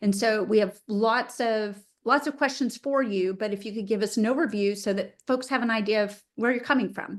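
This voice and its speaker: Against a quiet background, a woman with an unremarkable speaking voice talks at a moderate pace with hardly any pauses, fairly even intonation and fairly high pitch. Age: 50s. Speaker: webinar host, attorney. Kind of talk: interview. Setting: video call.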